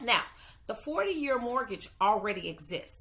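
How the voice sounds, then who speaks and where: Her tone is animated, bright and sharp, with lively intonation. The woman speaks at a moderate pace with a fairly high pitch. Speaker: mortgage loan officer and podcast host. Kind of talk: casual podcast monologue.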